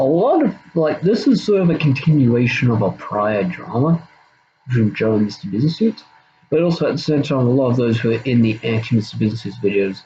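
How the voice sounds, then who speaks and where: With an Australian accent, a man talks at a fairly quick pace, his pitch swinging very widely. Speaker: YouTuber. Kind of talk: casual monologue, drama response video. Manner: halting, many fillers and repeats.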